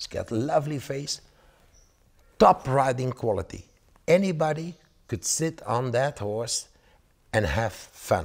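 A somewhat breathy man at a fairly slow pace, with lively intonation, long and frequent pauses, and a quiet background. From Belgium. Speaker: horse breeder and auctioneer. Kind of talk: promotional interview. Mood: enthusiastic, praising horses. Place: home room. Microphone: lapel.

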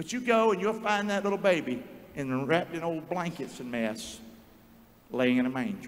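A man with an American accent speaks at a high pitch. His pitch swings very widely at a moderate pace. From North Carolina. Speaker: pastor. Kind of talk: sermon. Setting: church. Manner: animated. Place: church. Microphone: handheld.

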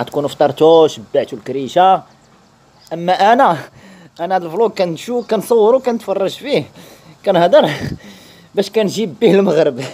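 Pausing long and often, a man talks at a fairly slow pace with lively intonation. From Morocco. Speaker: travel vlogger. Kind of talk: vlog narration. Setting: outdoors. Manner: animated.

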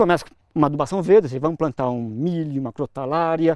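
Someone talks at a fairly quick pace, the sound dry with no echo and the background quiet. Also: man. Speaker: agronomy professor and researcher; agronomy professor. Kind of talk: interview. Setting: on location at an experimental farm. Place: farm machine. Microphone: lapel.

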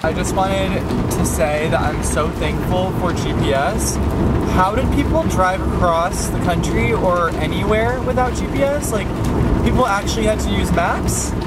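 A man's voice sounds dry, with no echo, while music plays behind him. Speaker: vlogger. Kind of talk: casual vlog chat. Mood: playful, mildly exasperated. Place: car. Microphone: phone near.

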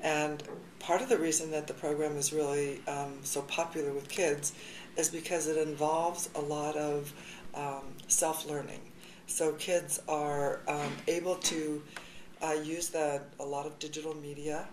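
Fairly slow, flat, monotone speech with audible room echo and light background noise. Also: woman. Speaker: high school journalism teacher. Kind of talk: interview answer.

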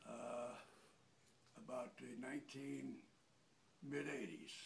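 The voice has vocal fry. Noticeable background noise runs underneath. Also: man. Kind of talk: interview answer. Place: empty room. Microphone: phone near.

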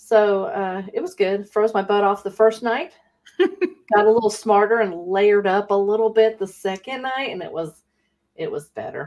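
A woman at a moderate pace, with big swings in loudness, against a quiet background. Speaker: live stream co-host. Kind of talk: casual chat on live stream. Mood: relaxed, cheerful. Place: home room. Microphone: studio mic.

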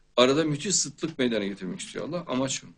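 Over a quiet background, a man speaks at a moderate pace with very wide pitch swings. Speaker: show host. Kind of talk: religious talk. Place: studio.

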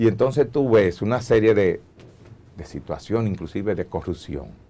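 Speaking at a moderate pace, a man with a very deep, low pitch and a dark, mellow tone uses lively intonation. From Dominican Republic. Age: old. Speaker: doctor and medical association leader; guest. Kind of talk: TV interview. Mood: critical, forceful. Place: studio. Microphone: lapel.

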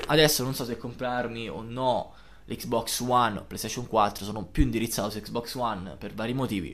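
At a moderate pace, a man speaks with vocal fry and big swings in loudness. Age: 20s. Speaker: gaming youtuber. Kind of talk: live gameplay commentary. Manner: casual, swearing outbursts.

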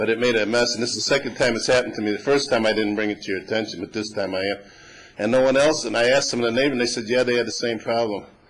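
Noticeable background noise sits behind a man talking at a very fast pace. He has an American accent, medium pitch and fairly even intonation. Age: 60s. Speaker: resident speaking at public comment. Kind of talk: public comment at council meeting. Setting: city council meeting. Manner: conversational, somewhat rambling.

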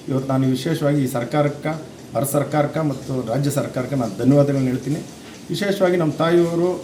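Against noticeable background noise and audible room echo, a man talks in a fairly high pitch with ordinary pitch variation. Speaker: son of elderly voter, villager. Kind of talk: news interview statement. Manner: halting, with false starts.

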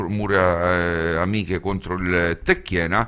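Against a quiet background, a man with a very deep, low pitch speaks at a very slow pace in a bright, sharp tone with ordinary pitch variation. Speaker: radio host. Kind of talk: radio sports commentary and match summaries. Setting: studio. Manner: hesitant, filler-heavy, with frequent 'eh' pauses. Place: studio.

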